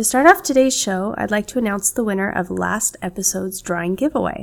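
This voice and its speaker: A woman with an American accent speaks at a medium pitch. Her pace is fairly quick, and her voice has vocal fry. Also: ordinary pitch variation. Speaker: podcast host. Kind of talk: scripted podcast monologue.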